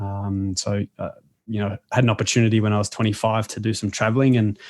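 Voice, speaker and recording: Over a quiet background, someone speaks in an Australian accent with fairly even intonation. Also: man. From Australia, Melbourne. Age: 30s. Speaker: sports coach and author. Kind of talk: interview conversation. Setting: podcast.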